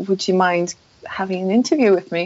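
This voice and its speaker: In a Polish accent, a woman speaks at a medium pitch. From Poland. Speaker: mountain bike website founder. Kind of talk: interview conversation. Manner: halting, many fillers.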